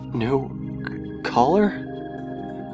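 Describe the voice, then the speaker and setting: A man's voice is heard with music in the background. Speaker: fan fiction narrator. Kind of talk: dramatic audiobook reading.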